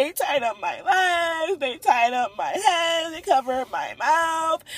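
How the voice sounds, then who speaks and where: This is a put-on character voice that sounds female. Its pitch is extremely high. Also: fairly slow pace. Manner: mimicking, comedic.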